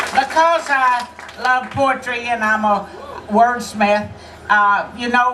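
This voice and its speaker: Noticeable background noise and audible room echo around a woman's high-pitched voice with a Texan accent. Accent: Texan Southern American. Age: 80s+. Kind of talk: rally speech. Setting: outdoor rally with crowd.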